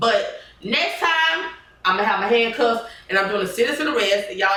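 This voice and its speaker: Over noticeable background noise and audible room echo, a woman with a fairly high pitch talks at a fairly quick pace, her tone animated and her intonation lively. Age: 40s. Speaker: podcast host. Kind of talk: casual chat.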